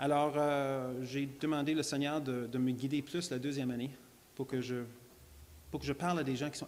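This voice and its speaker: Long, frequent pauses and fairly even intonation at a moderate pace, with an English accent. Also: man. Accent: English-speaker accent in French, lasting. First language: English (speaking French). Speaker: creationist lecturer. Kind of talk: church talk, testimony. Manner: halting, many repetitions and fillers.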